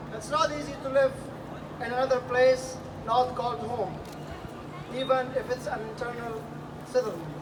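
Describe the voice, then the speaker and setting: A moderate pace broken by long, frequent pauses, over noticeable background noise. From Afghanistan. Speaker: asylum seeker speaker at public event. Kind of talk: public speech. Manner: halting.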